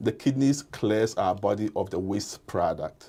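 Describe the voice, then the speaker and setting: A man speaks with a strong non-native accent and a dark, mellow tone. The recording is very clean with a silent background. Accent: thick non-native. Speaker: kidney and hypertension doctor. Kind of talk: interview.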